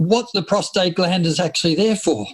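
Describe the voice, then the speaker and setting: A man speaks in a high voice with an Australian accent. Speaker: men's health physiotherapist and professor. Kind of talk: interview.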